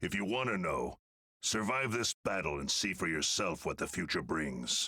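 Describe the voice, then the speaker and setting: Putting on a raspy character voice, a man speaks at a moderate pace and a fairly low pitch, with very wide pitch swings and very even loudness. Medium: video game. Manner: authoritative, clipped.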